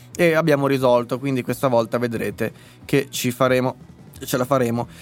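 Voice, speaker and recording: A man speaks in an animated tone at a moderate pace. Music plays in the background. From northern Italy, Lombardy. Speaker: political commentator and live streamer. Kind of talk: live stream commentary and chat reading. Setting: live stream from home computer setup.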